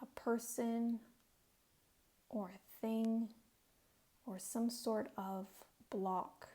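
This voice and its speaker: Soft-spoken and somewhat breathy, a woman with a fairly high voice talks at a very slow pace, her intonation fairly even and broken by long, frequent pauses. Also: big swings in loudness. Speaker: tarot and oracle card reader. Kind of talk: oracle card reading. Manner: soft-spoken, relaxing.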